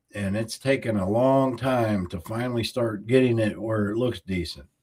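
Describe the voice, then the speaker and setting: In a Southern US accent, a man talks at a very slow pace. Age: 60s. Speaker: YouTuber. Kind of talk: livestream chat. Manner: casual.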